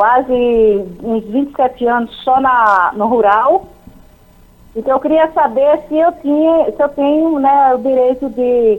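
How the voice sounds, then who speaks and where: Her voice is high, and this woman speaks at a fairly slow pace with lively intonation. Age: 60s. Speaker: caller, former rural worker. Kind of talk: phone-in question.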